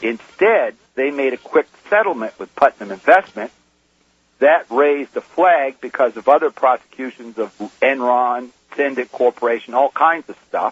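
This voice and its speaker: A man with an ordinary speaking voice at medium pitch, ordinary pitch variation, moderate pace and big swings in loudness. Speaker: whistleblower. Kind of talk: testimony. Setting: phone call.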